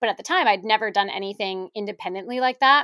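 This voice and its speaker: In a very clean recording with a silent background and a dry, close sound with no echo, a woman speaks at a fairly high pitch in a bright, sharp tone with fairly even intonation. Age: 20s. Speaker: marketing director. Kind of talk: interview conversation.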